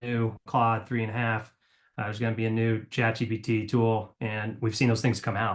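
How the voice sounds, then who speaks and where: Against a quiet background, a man talks at a fairly quick pace and medium pitch. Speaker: company executive presenting a webinar. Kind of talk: webinar presentation. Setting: online webinar with screen share. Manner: fast; hesitant, many fillers.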